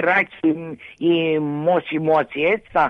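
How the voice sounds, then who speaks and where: A woman speaks at a very slow pace. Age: 60s. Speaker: radio caller with rheumatoid arthritis. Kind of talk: casual chat.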